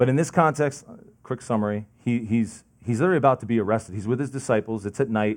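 A man speaks with a New Jersey accent. His pitch is medium, with ordinary variation. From New Jersey, Lincoln Park. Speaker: lay preacher. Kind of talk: sermon. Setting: church, seated with audience. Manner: fast.

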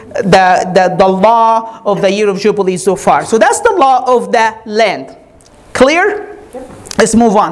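Over noticeable background noise, a woman speaks fairly slowly at a fairly high pitch, her tone animated. Her intonation is lively while her loudness stays very even. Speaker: preacher. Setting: church. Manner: urgent, earnest pastoral appeal at the close.

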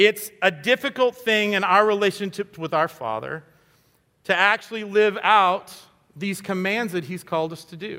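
Raising and projecting his voice, a man speaks at a high pitch and a moderate pace in a bright, sharp tone. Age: 50s. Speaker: guest pastor. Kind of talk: sermon. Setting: church. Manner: animated.

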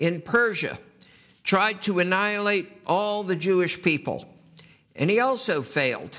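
Speaking in a raised, projected voice at a fairly slow pace, a man with an American accent has a high pitch, a bright, sharp tone and ordinary pitch variation, with audible room echo. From US Northeast, New York City. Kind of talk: sermon.

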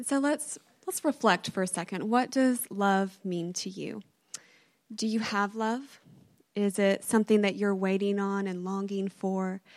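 At a fairly slow pace, a woman talks at medium pitch in an unremarkable speaking voice. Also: ordinary pitch variation. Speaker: church member reading advent reflection. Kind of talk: reflective reading. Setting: church with congregation.

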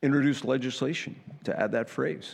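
Vocal fry runs through this man's voice. He keeps a moderate pace. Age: 70s. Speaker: preacher. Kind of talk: sermon. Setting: church. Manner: halting, repeats words.

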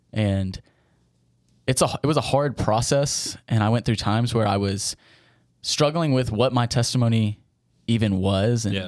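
Speaking fairly slowly with a Southern US accent and ordinary pitch variation, the voice comes through on a very clean recording with a silent background. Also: man. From US South, Tennessee (near Memphis). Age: 20s. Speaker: seminary student, intern. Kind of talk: interview, personal testimony.

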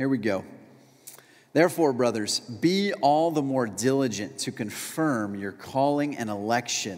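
His is a plain, everyday voice, medium in pitch. He talks at a fairly slow pace with lively intonation. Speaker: pastor. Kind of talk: sermon. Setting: church.

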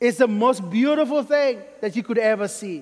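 A man with a Sierra Leonean accent, at a fairly slow pace. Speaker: pastor. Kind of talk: sermon. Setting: church.

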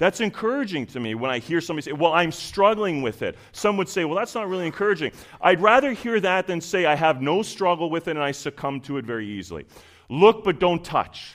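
Speaking very fast in a Canadian accent, a man uses a high pitch and very wide pitch swings. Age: 40s. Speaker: preacher. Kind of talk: sermon.

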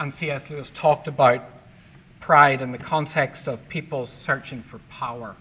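Speaking at a moderate pace with a Northern Irish accent, a man's fairly high, bright, sharp voice keeps a fairly even intonation but shows big swings in loudness. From Belfast, Northern Ireland. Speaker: public speaker and ministry leader. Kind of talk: testimony. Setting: church men's lunch.

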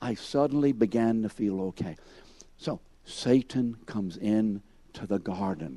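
This man's dark, mellow tone carries lively intonation at a fairly slow pace. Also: fairly low pitch for a man. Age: 70s. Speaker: Sunday school teacher. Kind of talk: Bible class lecture. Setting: church classroom with audience. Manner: conversational, addresses class members by name.

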